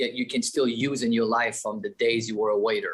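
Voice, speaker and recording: Background noise is noticeable as a man talks with a Quebec accent. His pitch is medium. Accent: French-Canadian accent in English. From Quebec, Canada. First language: French. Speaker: company executive. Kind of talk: interview. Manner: hesitant, many fillers and restarts.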